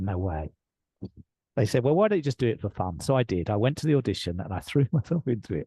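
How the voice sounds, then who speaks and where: A man's somewhat breathy voice with a dark, mellow tone and lively intonation, over a quiet background. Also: dry, close sound with no echo. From England. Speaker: leadership coach. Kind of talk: interview storytelling. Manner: animated.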